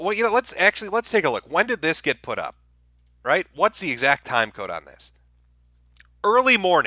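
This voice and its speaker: This man's raised, projected voice is high-pitched, with a bright, sharp tone. He moves at a fairly quick pace and uses lively intonation. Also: dry, close sound with no echo. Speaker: internet commentary streamer. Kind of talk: casual live stream commentary.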